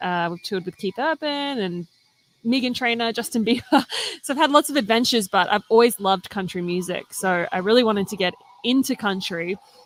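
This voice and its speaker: A woman's fairly high voice with lively intonation and an Australian accent. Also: fairly quick pace, dry, close sound with no echo. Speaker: country singer. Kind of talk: interview. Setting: live stream at a coffee shop.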